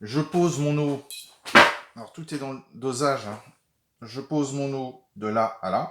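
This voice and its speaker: A man's fairly high voice at a very slow pace, with ordinary pitch variation, big swings in loudness and long, frequent pauses. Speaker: watercolor painting teacher. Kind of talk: tutorial. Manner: halting.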